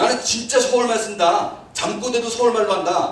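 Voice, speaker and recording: Noticeable background noise and audible room echo surround the recording. The man speaks at a high pitch. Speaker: pastor. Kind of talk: sermon.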